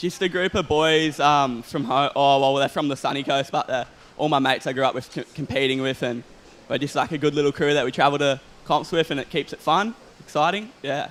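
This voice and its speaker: This man speaks with an Australian accent. His pace is fairly quick. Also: fairly high pitch for a man, ordinary pitch variation. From Australia, Queensland (North Stradbroke Island). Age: young. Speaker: pro surfer. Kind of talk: post-heat interview.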